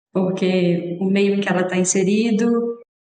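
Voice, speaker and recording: A woman with an ordinary speaking voice talks at a fairly slow pace, her medium pitch held in fairly even intonation. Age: 30s. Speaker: podcast host and family doctor. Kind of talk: podcast interview.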